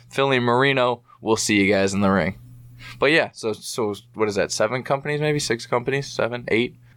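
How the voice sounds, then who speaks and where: In an unremarkable speaking voice, a man talks at a moderate pace in a medium pitch with ordinary pitch variation. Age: 20s. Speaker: professional wrestler. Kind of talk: casual chat. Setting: home studio.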